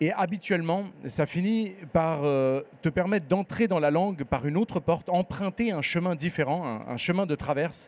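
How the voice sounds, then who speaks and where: Hardly any pauses break up this man's speech at a moderate pace. His pitch is high, with ordinary variation. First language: Spanish (speaking French). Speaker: novelist. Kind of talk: literary panel conversation. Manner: hesitant, many fillers.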